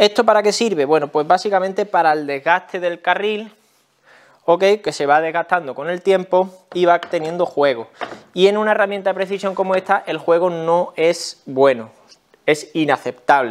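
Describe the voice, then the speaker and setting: A man with a Spanish accent at a moderate pace, against a quiet background. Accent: Peninsular Spanish. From Spain. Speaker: tool review YouTuber. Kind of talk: product review tutorial. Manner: casual, explanatory. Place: workshop.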